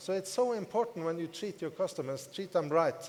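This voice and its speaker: A man with a non-native accent, high pitch and ordinary pitch variation. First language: not English. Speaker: network marketing business leader. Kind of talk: motivational talk to audience. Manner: repetitive, emphatic.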